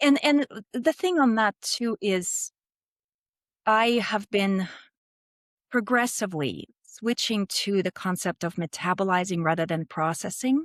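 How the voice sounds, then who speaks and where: Speaking at a fairly slow pace with a Russian accent, a woman uses medium pitch and lively intonation in a very clean, dry, close recording with no echo and a silent background. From Russia, Moscow. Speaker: business founder and CEO. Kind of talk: podcast interview.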